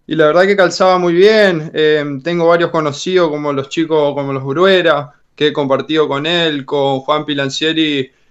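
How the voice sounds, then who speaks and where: A man with fairly high pitch, a moderate pace, hardly any pauses, and an unremarkable speaking voice. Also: fairly even intonation. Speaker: basketball player. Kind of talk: radio interview.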